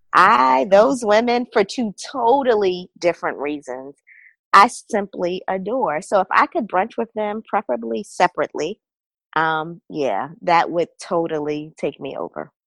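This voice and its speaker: This woman, with a Baltimore accent, talks at a fairly slow pace and a medium pitch, her voice swinging very widely in pitch, in a dry, close sound with no echo. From Baltimore, Maryland.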